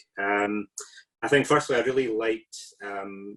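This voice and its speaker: A man with a Scottish accent. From Scotland. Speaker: artist and researcher, invited respondent. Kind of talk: panel response to a lecture. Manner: hesitant, many fillers.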